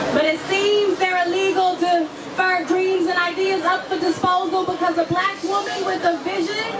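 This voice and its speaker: Speaking at a moderate pace, a woman has an extremely high pitch, monotone, flat intonation and very even loudness. Crowd noise can be heard in the background. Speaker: spoken word poet. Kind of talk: live spoken word performance. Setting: live venue with audience.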